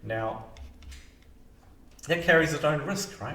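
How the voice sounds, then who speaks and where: Over music in the background and audible room echo, a man with a non-native accent talks at a moderate pace. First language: not English. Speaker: mortgage broker and financial advisor. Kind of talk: explainer video to camera. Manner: casual, hesitant with fillers.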